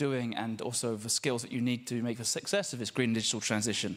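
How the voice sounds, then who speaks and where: Fairly even intonation in an English accent at a fairly quick pace. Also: man. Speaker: social enterprise network representative. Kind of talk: panel speech. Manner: hesitant, many fillers.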